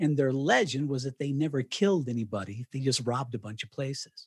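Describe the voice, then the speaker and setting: A man in a General American accent speaks at a moderate pace and medium pitch, somewhat breathy, in a dry, close sound with no echo. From Colorado (Canon City). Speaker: retired radio broadcaster and author. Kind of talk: interview. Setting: remote call from home.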